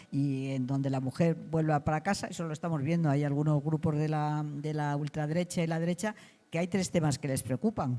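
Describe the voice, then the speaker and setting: A woman with a very deep, low pitch, a dark, mellow tone, fairly even intonation and a fairly quick pace. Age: 80s+. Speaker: political activist. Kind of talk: interview. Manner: halting.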